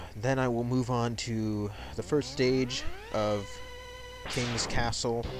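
Music plays behind a man who speaks at a very slow pace with long, frequent pauses and fairly even intonation in a dry sound with no echo. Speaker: let's play gamer. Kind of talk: casual game commentary. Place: home room.

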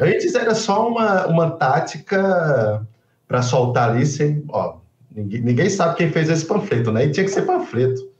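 A man speaks at a moderate pace in a fairly high voice with very wide pitch swings. Audible room echo surrounds the recording. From João Pessoa, Brazil. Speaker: guest commentator. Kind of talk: casual political commentary. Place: home room. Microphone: webcam.

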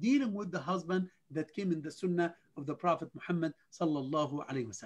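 Speaking at a fairly quick pace, a man has a high pitch, ordinary pitch variation and a fairly bright tone.

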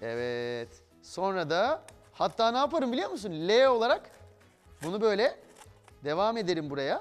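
A man talks at a fairly slow pace while faint music sounds behind him. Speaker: TV presenter. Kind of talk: tutorial. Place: studio.

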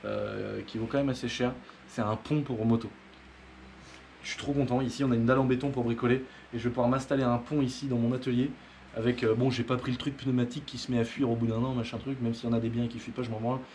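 Monotone, flat delivery at a very fast pace, over light background noise. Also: man. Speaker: motorbike hobbyist vlogger. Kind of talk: casual vlog chat. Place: workshop. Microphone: camera far.

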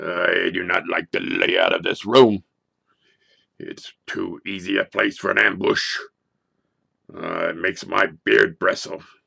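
A man puts on a raspy character voice, raised and projected. He goes at a fairly slow pace with long, frequent pauses. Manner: gruff, wary.

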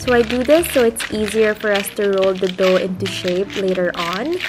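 Noticeable background noise is present throughout. The delivery is moderate in pace, with ordinary pitch variation. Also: woman. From Philippines. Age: 20s. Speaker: home baking vlogger. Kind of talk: cooking tutorial to camera.

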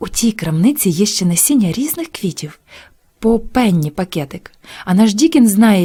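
Lively intonation carries the speaker, who is reading aloud in a natural voice.

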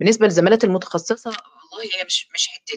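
The background stays quiet. A woman talks fairly quickly. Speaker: dentist and course lecturer; course lecturer. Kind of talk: online lecture. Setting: live stream. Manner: talkative. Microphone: webcam.

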